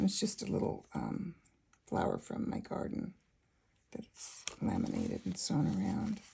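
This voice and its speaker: A woman mumbles at a fairly slow pace. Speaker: junk journal maker. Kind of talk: casual talk to camera. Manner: mumbling a bit.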